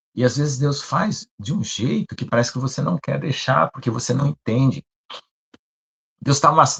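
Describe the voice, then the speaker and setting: The sound is dry and close, with no echo. The pace is fairly quick. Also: man. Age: 60s. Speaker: pastor. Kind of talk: sermon. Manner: conversational.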